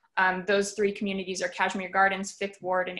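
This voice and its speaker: Against a quiet background, a woman talks at a very fast pace. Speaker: public art manager and moderator. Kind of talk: moderated panel discussion. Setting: video call.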